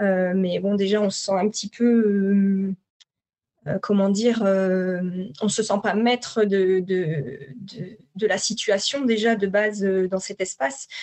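Her medium-pitched voice comes at a very slow pace as the woman speaks. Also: ordinary pitch variation. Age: 40s. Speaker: psycho-body therapist for perinatal grief. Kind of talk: personal testimony.

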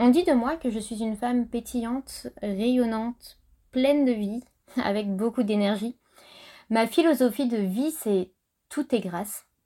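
Dark and mellow in tone, a woman's fairly high voice shows ordinary pitch variation. She speaks at a fairly slow pace with long, frequent pauses on a very clean recording with a silent background. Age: 30s. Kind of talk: podcast monologue.

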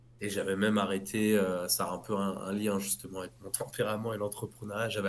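Here a man with an unremarkable speaking voice and fairly low pitch talks at a fairly quick pace. The recording is very clean, with a silent background. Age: 30s. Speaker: clothing brand founder. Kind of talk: interview.

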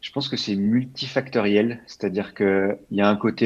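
A man's fairly low voice at a fairly slow pace against a quiet background. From France, Val-d'Oise near Paris. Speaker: growth marketing specialist. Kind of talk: interview. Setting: remote recording from home. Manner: hesitant, many fillers.

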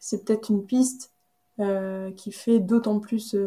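Dark and mellow in tone, a woman's medium-pitched voice stays monotone and flat. She speaks at a fairly slow pace. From Brittany, central (Carhaix). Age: 30s. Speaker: association co-founder. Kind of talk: interview. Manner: hesitant, frequent fillers.

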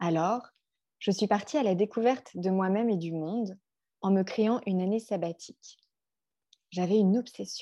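The voice has a dark, mellow tone and long, frequent pauses, set against a quiet background. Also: woman, medium pitch for a woman, ordinary pitch variation, moderate pace. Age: 30s. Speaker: life coach. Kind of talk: podcast monologue.

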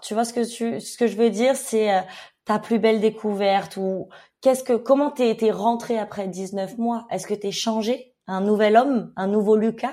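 A woman's dark, mellow tone at a moderate pace with ordinary pitch variation

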